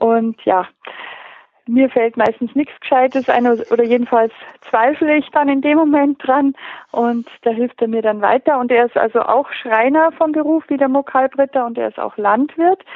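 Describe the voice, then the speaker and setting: Her pitch high and its variation ordinary, a woman speaks. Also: moderate pace. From Upper Bavaria, Pöcking on Lake Starnberg. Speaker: crime novelist. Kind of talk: interview.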